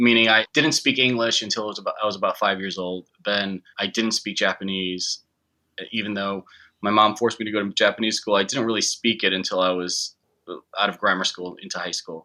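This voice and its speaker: A man with an American accent speaks at a fairly quick pace in a bright, sharp tone, his intonation fairly even against a quiet background. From US Midwest (Chicago, Illinois). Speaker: filmmaker. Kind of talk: interview. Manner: halting.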